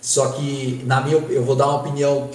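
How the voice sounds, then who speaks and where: Audible room echo and noticeable background noise surround speech delivered fairly slowly. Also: man. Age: 20s. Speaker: football performance analyst and student. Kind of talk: interview.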